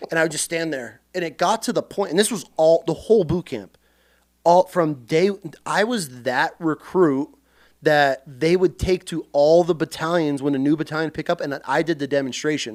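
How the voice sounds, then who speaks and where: Animated in tone, a man with an American accent speaks at a moderate pace in a fairly high pitch with ordinary pitch variation, captured in a very clean recording with a silent background and a dry, close sound with no echo. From central Washington, US. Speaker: Marine Corps veteran. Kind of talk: casual chat.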